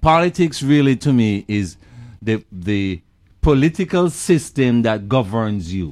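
Very wide pitch swings run through a man's voice. He speaks at a fairly slow pace. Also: medium pitch for a man. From Jamaica. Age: 60s. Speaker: artist. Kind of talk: casual chat.

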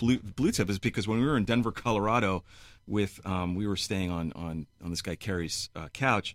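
Speaking with a New York accent, a man with a fairly low pitch moves at a fairly quick pace with lively intonation, captured on a very clean recording with a silent background. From New York City (Flushing, Queens). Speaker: musician. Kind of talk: casual chat. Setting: studio.

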